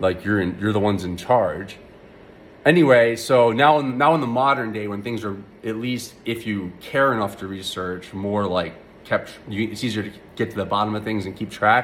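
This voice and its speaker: A man mumbles at a moderate pace. His pitch is fairly low with ordinary variation. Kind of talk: casual rant to camera. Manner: mumbly, hesitant with many filler words.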